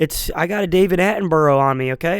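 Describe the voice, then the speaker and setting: A man talks at a very fast pace. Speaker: podcast host. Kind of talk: casual chat. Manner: rambling, halting.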